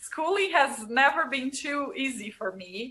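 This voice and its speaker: In a Brazilian accent, the speaker uses a raised, projected voice at a very slow pace. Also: woman. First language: Portuguese. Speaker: marriage and family therapist. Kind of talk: podcast interview.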